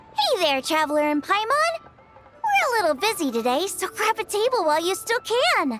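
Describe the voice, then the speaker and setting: An enthusiastic put-on character voice from a woman, pitched extremely high, at a moderate pace and very even loudness, over background music. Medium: video game. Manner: bright, enthusiastic.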